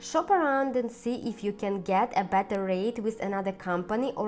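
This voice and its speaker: A woman speaks with a non-native accent at a moderate pace. Her pitch is medium, with ordinary pitch variation. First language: not English. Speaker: personal finance YouTuber. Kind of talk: scripted tutorial.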